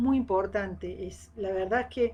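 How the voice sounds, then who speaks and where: Her pitch varies in an ordinary way as a woman talks over a quiet background. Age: 60s. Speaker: agronomist giving a talk. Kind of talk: live-streamed talk. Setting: live stream. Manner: hesitant, many fillers.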